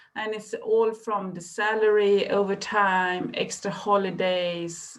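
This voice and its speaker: A woman speaks with a Swedish accent. Her pace is very slow. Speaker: librarian. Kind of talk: presentation. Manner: halting.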